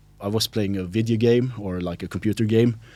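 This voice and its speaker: A man with a Swedish accent. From Sweden. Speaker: linguist and local politician. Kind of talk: podcast interview. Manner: halting, many fillers.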